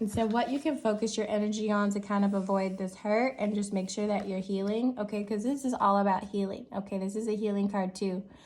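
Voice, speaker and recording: A woman's medium-pitched, somewhat breathy voice, with fairly even intonation at a moderate pace. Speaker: tarot reader. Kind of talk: tarot reading monologue. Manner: casual, reassuring with frequent 'okay?' fillers; firm, emphatic.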